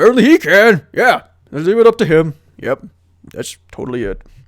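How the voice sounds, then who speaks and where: Bellowing in a put-on character voice, a man hits a high pitch. He moves at a fairly quick pace. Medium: game stream.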